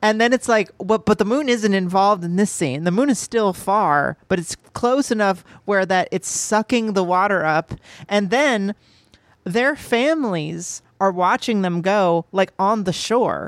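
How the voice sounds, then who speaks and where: In a normal speaking voice, the speaker talks at a fairly slow pace with ordinary pitch variation and very even loudness, the sound dry and close with no echo. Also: woman, medium pitch for a woman. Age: 30s. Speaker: movie podcast co-host. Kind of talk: casual chat.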